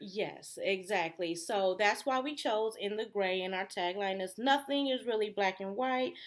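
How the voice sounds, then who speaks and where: A woman's normal speaking voice, medium pitched with an American accent, at a moderate pace with ordinary pitch variation and hardly any pauses. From Detroit, Michigan. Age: 30s. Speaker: podcast co-host. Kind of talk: casual chat.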